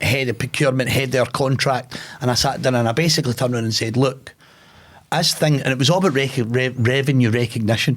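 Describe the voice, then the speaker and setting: A man with a Glasgow accent talks at a very fast pace and medium pitch. The recording is very clean, with a silent background. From Scotland, Glasgow. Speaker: podcast host and businessman. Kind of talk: conversational interview, telling a personal story. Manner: plain-spoken, informal.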